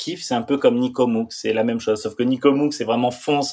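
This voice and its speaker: With a plain, everyday voice, a man speaks at a moderate pace and with fairly even intonation. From France, Pyrenees. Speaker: former pro snowboarder and public speaker. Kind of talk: podcast interview.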